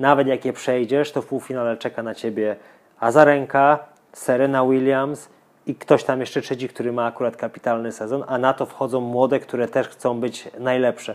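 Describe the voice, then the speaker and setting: Monotone and flat, a man speaks at a medium pitch and moderate pace. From Poland, Lower Silesia (Żarów). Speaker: tennis coach. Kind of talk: casual interview.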